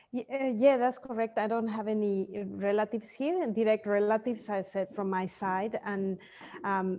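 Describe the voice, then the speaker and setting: A woman with a Spanish accent talks at a moderate pace in a dark, mellow tone and a fairly high pitch. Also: ordinary pitch variation. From Mexico. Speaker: sleep consultant, entrepreneur. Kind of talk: interview. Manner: halting.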